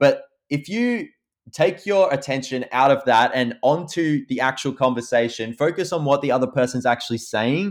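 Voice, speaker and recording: Using an Australian accent, a man speaks at a moderate pace with a fairly high pitch. The recording is very clean, with a silent background. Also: ordinary pitch variation. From Australia, Victoria. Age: 20s. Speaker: YouTuber, photographer and filmmaker. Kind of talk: casual chat.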